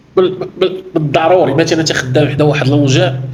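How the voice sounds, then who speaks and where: A man talks with a Moroccan accent. The room echo is audible, and the background noise is noticeable. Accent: Moroccan Darija with French loanwords. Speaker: workplace safety trainer. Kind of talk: educational explanation. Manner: halting, with false starts.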